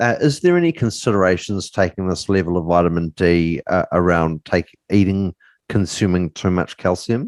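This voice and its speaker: With a New Zealand accent, a man with a very deep, low voice speaks at a moderate pace with ordinary pitch variation and very even loudness, the sound dry and close with no echo against a quiet background. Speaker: podcast host. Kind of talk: interview.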